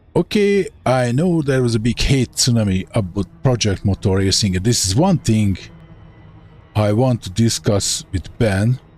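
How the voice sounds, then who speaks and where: With a Hungarian accent, a man speaks at medium pitch and a moderate pace, his intonation lively and his loudness very even. His voice is somewhat breathy, and he takes long, frequent pauses. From Hungary. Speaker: gaming streamer. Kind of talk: live gameplay commentary. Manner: casual, thinking aloud.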